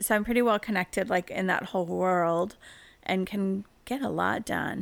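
A woman with an American accent, at medium pitch and a fairly slow pace, with fairly even intonation, in a very clean recording with a silent background. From US Upper Midwest (rural Minnesota, Dakotas). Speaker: fashion designer. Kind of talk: casual chat. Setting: studio.

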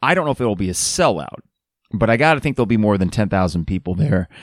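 A man puts on a raspy character voice, pitched fairly low, and talks very fast. The recording is very clean with a silent background.

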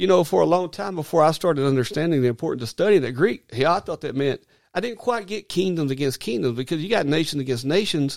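A man with an Arkansas accent speaks at a very fast pace with a fairly high pitch and lively intonation. The sound is dry and close with no echo, and the recording is very clean with a silent background. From Arkansas, US South. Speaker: minister. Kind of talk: casual chat. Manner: halting.

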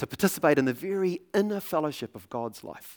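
A man with a New Zealand accent at a moderate pace, on a very clean recording with a silent background. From New Zealand, Auckland. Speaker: preacher. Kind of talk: sermon. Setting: church.

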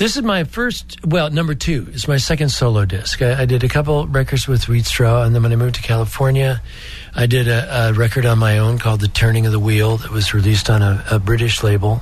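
The speech moves at a fairly quick pace. Noticeable background noise runs underneath it. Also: man, medium pitch for a man, ordinary pitch variation. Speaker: singer-songwriter. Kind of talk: interview chat.

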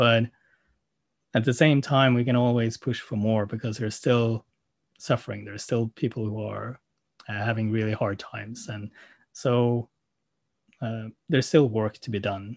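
Recorded dry and close with no echo over a quiet background, a man with a Norwegian accent speaks at a medium pitch and moderate pace, with fairly even intonation and long, frequent pauses. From Norway. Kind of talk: casual chat. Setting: video call.

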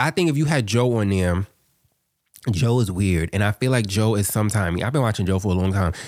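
A fairly quick man's voice, fairly low in pitch, with ordinary pitch variation and very even loudness. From Harlem, New York. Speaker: podcast host. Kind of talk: casual chat.

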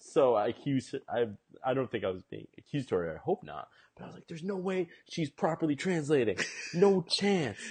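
Very fast and somewhat breathy, a man speaks at a fairly high pitch with very wide pitch swings. The sound is dry and close with no echo. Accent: American. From Massachusetts, US Northeast. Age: 20s. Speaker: Korean adoptee, ad agency executive. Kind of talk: casual chat.

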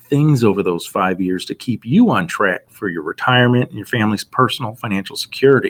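Using very wide pitch swings around a medium pitch, a man with an American accent talks at a fairly quick pace. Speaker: financial advisor. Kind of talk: podcast interview, financial advice.

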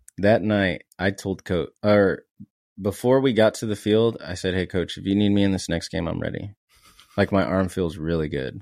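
This man has an ordinary speaking voice, fairly low in pitch, with an American accent, ordinary pitch variation and a moderate pace, captured in a very clean recording with a silent background. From San Antonio, Texas. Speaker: guest, former college baseball player, marketing/content. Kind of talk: casual interview chat.

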